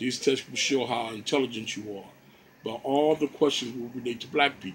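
This is a man talking at a moderate pace. Light background noise runs underneath. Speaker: home lecturer. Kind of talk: lecture. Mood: earnest, argumentative. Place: home room. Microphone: phone near.

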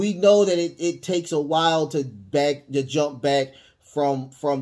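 The voice is dark and mellow, moving at a very slow pace. Its pitch varies in an ordinary way over a quiet background. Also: man. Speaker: podcast host. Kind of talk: opinion commentary. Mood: indignant, earnest. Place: home room. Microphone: studio mic.

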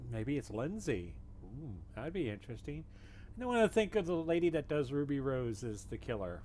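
Pitch swings very widely in a dark, mellow tone. The pace is fairly quick over light background noise. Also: man. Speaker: reaction video host. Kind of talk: casual reaction commentary. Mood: amused, speculative. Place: home room. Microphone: webcam.

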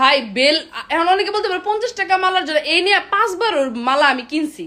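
A woman speaks in an animated tone with an extremely high pitch. Her raised, projected voice makes very wide pitch swings. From Bangladesh. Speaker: content creator. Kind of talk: vlog rant.

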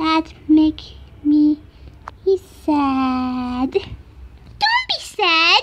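Very slowly, someone delivers a put-on character voice in an upbeat, playful tone. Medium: dub.

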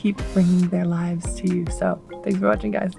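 A woman speaks at a very fast pace. Faint music plays in the background, and the sound is dry with no echo. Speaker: volleyball vlogger. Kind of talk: casual vlog chat. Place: car. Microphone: phone near.

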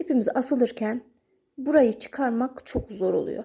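A woman's high-pitched voice, dark and mellow in tone, calm yet with lively intonation, at a fairly slow pace, on a very clean recording with a silent background. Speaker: needlework craft YouTuber. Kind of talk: tutorial. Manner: calm, explanatory.

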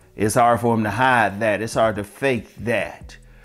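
Faint music plays behind a man who speaks at a fairly slow pace with fairly even intonation. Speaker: dating advice vlogger. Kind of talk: casual advice monologue. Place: home room. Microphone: lapel.

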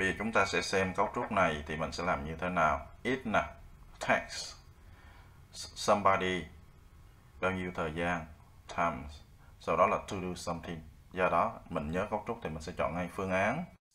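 Very deep and low yet bright and sharp, a man's voice moves at a fairly slow pace with ordinary pitch variation and long, frequent pauses. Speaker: English teacher. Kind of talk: tutorial. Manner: casual, friendly, explanatory.

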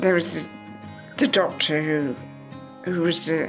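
Against clear music in the background, a woman speaks fairly slowly in a very deep, low pitch. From England. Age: 80s+. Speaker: retired virology research officer. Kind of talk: interview answer.

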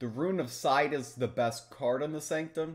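The pace is moderate as this man talks. There is ordinary variation in his pitch.

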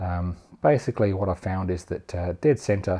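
A man's low voice, dark and mellow in tone, with fairly even intonation

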